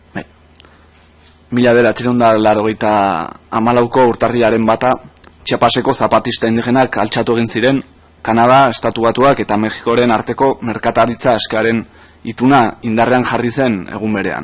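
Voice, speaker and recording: A man speaks with a Basque accent at a medium pitch. His intonation stays flat and monotone at a moderate pace. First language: Basque (speaking Spanish). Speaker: activist. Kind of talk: parliamentary testimony. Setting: parliament committee hearing.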